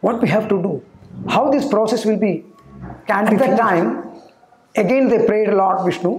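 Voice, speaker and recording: Audible room echo around a man's fairly slow delivery. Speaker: yoga or spiritual teacher. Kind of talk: storytelling lecture. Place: studio. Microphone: lapel.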